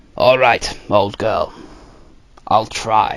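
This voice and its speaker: A man uses a put-on character voice. It sounds raspy and gruff. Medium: read story. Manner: gruff, grave.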